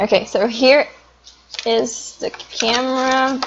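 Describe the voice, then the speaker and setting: Her voice is high-pitched, and this woman speaks with a non-native accent. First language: not English. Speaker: video blogger. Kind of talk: casual unboxing review. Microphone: phone used as webcam.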